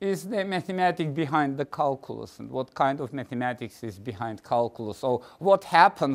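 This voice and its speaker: At a moderate pace, a man with a non-native accent speaks in a fairly high voice with lively intonation. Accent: foreign. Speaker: mathematics professor. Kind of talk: lecture. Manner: halting, many fillers.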